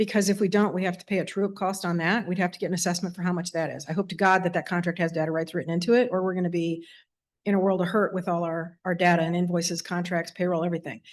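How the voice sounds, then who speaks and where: Against a quiet background, a woman with a fairly low voice talks very fast in a flat monotone. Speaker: school division finance official. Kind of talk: public meeting report. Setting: school board meeting in auditorium.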